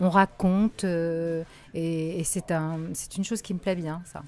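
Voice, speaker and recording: A woman of medium pitch in an ordinary speaking voice, on a very clean recording with a silent background. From Morocco. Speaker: voice actor. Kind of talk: interview answer.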